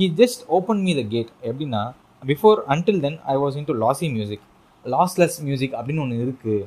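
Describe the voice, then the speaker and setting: A man speaks with a fairly high pitch and very wide pitch swings. His voice is somewhat breathy. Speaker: podcast host. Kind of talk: casual interview conversation. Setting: video call. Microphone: voice distorted, re-recorded afterwards.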